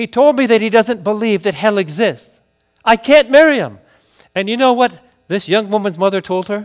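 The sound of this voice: An unforced reading voice with ordinary pitch variation over a quiet background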